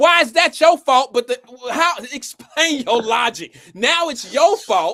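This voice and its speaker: A man speaks in a raised, projected voice at an extremely high pitch, with very wide pitch swings and an animated tone. His pace is fairly slow, and the sound is dry and close with no echo. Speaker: live stream host. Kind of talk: heated debate.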